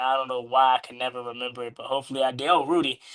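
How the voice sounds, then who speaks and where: The pace is very fast. A man speaks with an American accent. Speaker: sports YouTube host. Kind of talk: livestream sports talk.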